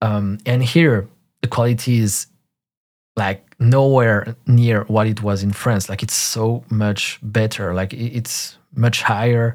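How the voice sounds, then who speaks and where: A French accent, a very slow pace and fairly even intonation, in a very clean recording with a silent background. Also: man, medium pitch for a man. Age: 30s. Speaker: podcast host. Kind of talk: solo monologue, personal story. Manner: hesitant, many fillers.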